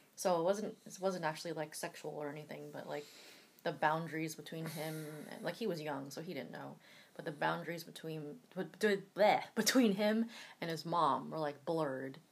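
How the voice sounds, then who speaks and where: Vocal fry runs through this moderately paced delivery, which has ordinary pitch variation and big swings in loudness. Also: woman, very deep, low pitch for a woman. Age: 30s. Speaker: podcast co-host. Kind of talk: casual chat.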